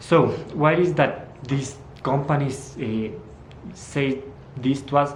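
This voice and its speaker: Audible room echo surrounds a man with a Spanish accent speaking at a fairly high pitch. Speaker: fitness vlogger. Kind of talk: casual educational talk. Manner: halting, with many fillers.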